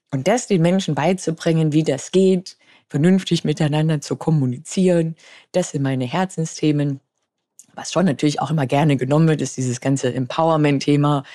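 At a moderate pace, a woman speaks in a very deep, low pitch with a dark, mellow tone. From Bavaria, Munich. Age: 30s. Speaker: pilot and astronaut candidate. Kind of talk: interview conversation.

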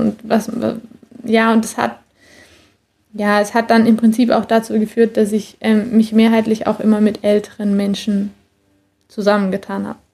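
A woman's voice has a dark, mellow tone, somewhat breathy and fairly high in pitch. She keeps a moderate pace. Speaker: former track athlete. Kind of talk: interview. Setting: remote call.

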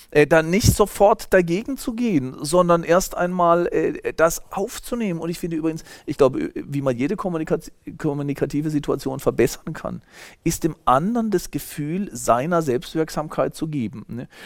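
On a very clean recording with a silent background, a man talks at a moderate pace in a high pitch with lively intonation. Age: 50s. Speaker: sociology professor. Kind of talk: interview.

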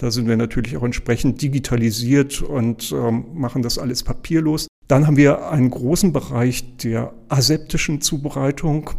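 This man has an unremarkable speaking voice, medium in pitch with ordinary pitch variation, at a moderate pace. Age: 60s. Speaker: hospital pharmacy director. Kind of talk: interview.

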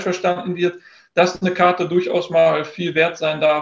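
This man has a high voice and a moderate pace. His intonation is monotone and flat. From Ruhr area, western Germany (near Dortmund). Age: 30s. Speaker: trading card business owner and content creator. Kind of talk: podcast interview.

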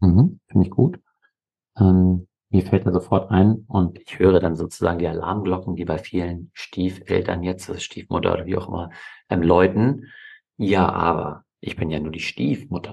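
In a very deep, low pitch and a dark, mellow tone, a man speaks at a moderate pace with fairly even intonation and big swings in loudness over a quiet background. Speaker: family and fathers' coach, podcast co-host. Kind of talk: conversational podcast discussion.

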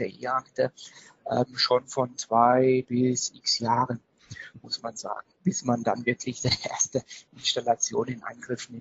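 Somewhat breathy and flat in a monotone, a man speaks at a fairly slow pace. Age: 30s. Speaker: IT company managing director. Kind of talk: interview. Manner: hesitant, many filler sounds.

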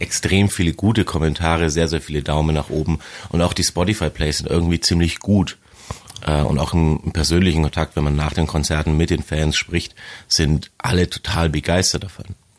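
The man's pitch is very deep and low. His intonation is fairly even. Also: moderate pace. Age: 30s. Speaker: metal band bassist. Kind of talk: casual interview. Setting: studio.

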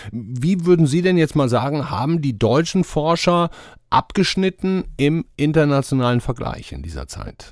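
A man talks in an ordinary speaking voice with lively intonation at a moderate pace on a very clean recording with a silent background. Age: 50s. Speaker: podcast host. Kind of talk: interview.

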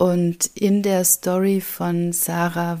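Here is a woman with a dark, mellow tone and a fairly low pitch. Her intonation stays monotone and flat. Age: 50s. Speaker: spiritual podcaster. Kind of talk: spiritual monologue. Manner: slow; soft-spoken.

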